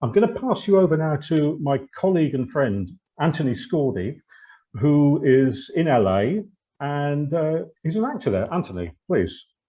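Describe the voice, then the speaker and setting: A man with a British accent speaks at a fairly high pitch. His pitch swings very widely. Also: moderate pace. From Britain. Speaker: actor and webinar host. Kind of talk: webinar presentation.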